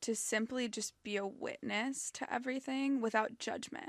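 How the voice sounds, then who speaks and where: A woman with an American accent has a normal speaking voice, a fairly slow pace and fairly even intonation. The background is quiet. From US West Coast, Los Angeles. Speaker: podcast host. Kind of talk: casual chat. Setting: studio.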